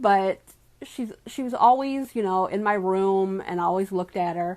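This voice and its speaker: A woman with a plain, everyday voice speaks at a moderate pace with lively intonation. The recording is very clean, the background silent. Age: 50s. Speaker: small business owner and doll artist. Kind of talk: casual vlog talk to camera.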